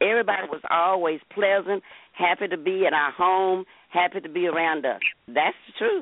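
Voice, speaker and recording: This woman speaks at a moderate pace, her pitch varying in an ordinary way. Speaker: caller. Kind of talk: casual chat. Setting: phone call.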